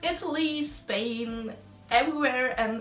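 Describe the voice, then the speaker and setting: A woman's speech, marked by ordinary pitch variation, comes through audible room echo and noticeable background noise. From Germany. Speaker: exchange student. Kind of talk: casual chat.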